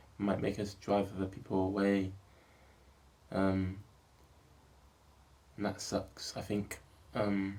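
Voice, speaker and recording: Mumbling in a fairly low, monotone voice at very even loudness, a man talks at a very slow pace with long, frequent pauses. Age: 20s. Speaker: filmmaker vlogger. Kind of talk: personal video diary monologue.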